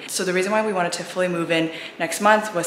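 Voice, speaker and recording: Against light background noise and audible room echo, a woman talks at a fairly low pitch with ordinary pitch variation. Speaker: vlogger. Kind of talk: casual vlog chat. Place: empty room. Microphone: phone near.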